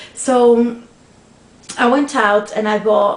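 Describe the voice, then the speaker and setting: A woman's fairly high, fairly even voice amid audible room echo and noticeable background noise. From Portugal. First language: Portuguese. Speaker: craft video blogger. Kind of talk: casual vlog answering tag questions. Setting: at home, sunlight in room. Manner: loud.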